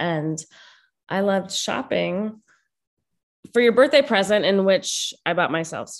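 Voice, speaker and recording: Speaking at a fairly slow pace, a woman with a medium pitch and ordinary pitch variation has vocal fry. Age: 30s. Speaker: podcast co-host, mother. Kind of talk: casual chat.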